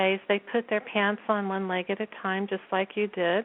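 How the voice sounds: A woman speaks softly at a fairly quick pace. Her pitch sits in the medium range and barely moves.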